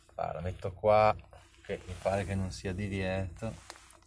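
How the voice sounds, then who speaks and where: Noticeable background noise fills the clip. A man speaks fairly slowly. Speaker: podcaster. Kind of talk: casual monologue while driving.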